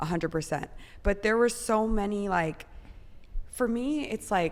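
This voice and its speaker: A woman speaks in a normal speaking voice at a medium pitch and a moderate pace, with lively intonation. The recording is very clean, with a silent background. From US Midwest, Chicago. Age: 30s. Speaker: professional soccer player. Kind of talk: podcast interview.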